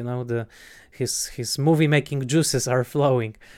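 The speaker has a Polish accent and a fairly slow pace. The intonation stays fairly even. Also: man. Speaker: film critic podcast host. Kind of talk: casual film discussion. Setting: online call. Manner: halting with many fillers.

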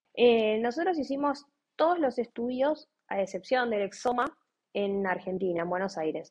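Her pitch swings very widely as a woman talks in a Rioplatense accent. The pace is moderate. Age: 30s. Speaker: lawyer and mother of a child with a rare disease. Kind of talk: interview, personal testimony. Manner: hesitant, many fillers and repetitions.

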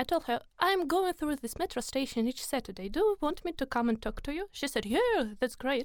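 This woman's high-pitched voice swings very widely in pitch. She talks at a fairly quick pace with hardly any pauses. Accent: Russian. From Russia. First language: Russian. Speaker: volunteer. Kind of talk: interview.

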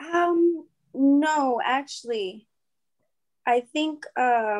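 A woman speaks with ordinary pitch variation on a very clean recording with a silent background. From rural southern New Mexico, near El Paso. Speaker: barber. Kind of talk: casual interview.

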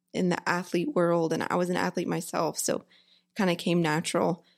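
A woman with a Texan accent, fairly low-pitched and fairly quick, on a very clean recording with a silent background. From Texas, Houston area. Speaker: physical therapist. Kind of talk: casual interview chat.

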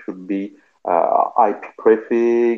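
A man with a French accent. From France, Paris. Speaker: cloud infrastructure engineer. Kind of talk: casual tech discussion.

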